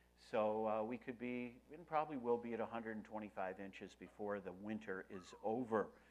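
The voice belongs to a man with a Western New York accent. His pitch is fairly low. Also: ordinary pitch variation, moderate pace, hardly any pauses. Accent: Western New York American. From US Northeast, Rochester, New York. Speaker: pastor. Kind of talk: sermon.

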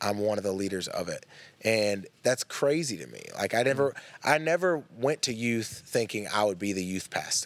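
A man's medium-pitched voice in a Southern US accent, with lively intonation and a moderate pace, on a very clean recording with a silent background. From East Tennessee. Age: 20s. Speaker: artist, art teacher and youth minister. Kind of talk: casual chat.

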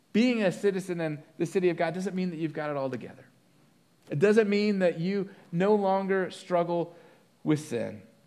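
A man speaks at a high pitch in a dark, mellow tone. His pitch varies in an ordinary way. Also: moderate pace. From moved around, partly Colorado. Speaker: pastor. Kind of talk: sermon.

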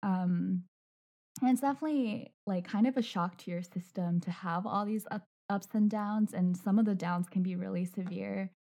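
A woman speaks at a moderate pace and medium pitch with ordinary pitch variation. Her tone is dark and mellow, and somewhat breathy. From China. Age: 20s. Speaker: podcast host and mental health blogger. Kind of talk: casual interview.

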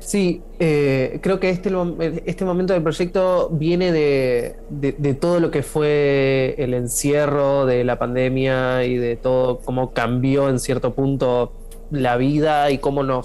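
Over noticeable background noise, a man with a fairly high pitch talks very slowly, with ordinary pitch variation and very even loudness. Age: 30s. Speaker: musician. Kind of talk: interview.

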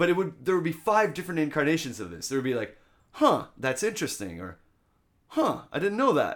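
Speaking at a fairly quick pace, a man with a Canadian accent uses a fairly high pitch with very wide swings and vocal fry. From Canada, Ottawa. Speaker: English teacher and rock singer. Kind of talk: casual chat. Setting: host's apartment.

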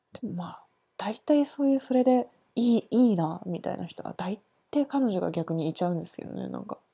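A somewhat breathy woman's voice at a medium pitch, dark and mellow in tone, with very wide pitch swings and a fairly quick pace. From Japan. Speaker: art student. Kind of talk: casual chat.

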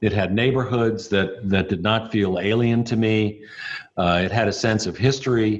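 In an American accent, a man speaks at a fairly low pitch and a moderate pace. His loudness stays very even and his intonation fairly even. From New York, Brooklyn. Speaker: city mayor. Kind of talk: interview.

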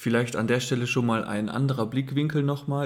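The man's delivery is fairly level in intonation and moves at a medium speed. There is some breathiness in his voice. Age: 20s. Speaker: host's partner. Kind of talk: casual chat.

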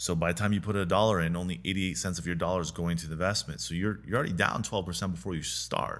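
Very fast and very deep, the man's low-pitched voice shows vocal fry and ordinary pitch variation. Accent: American. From US Pacific Northwest, rural eastern Washington. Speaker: real estate developer. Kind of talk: interview.

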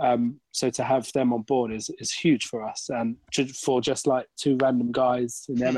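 Heard as a dry, close sound with no echo, a normal speaking voice moves at a moderate pace with fairly even intonation. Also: man. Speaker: racing driver. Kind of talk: casual chat.

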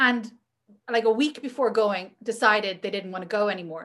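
A woman with a Northern Irish accent at a moderate pace. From Northern Ireland. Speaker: magazine editor and publisher. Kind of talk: casual chat.

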